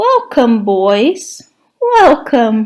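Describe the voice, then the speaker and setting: A woman's cackling, put-on character voice, high in pitch. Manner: cackling, merry.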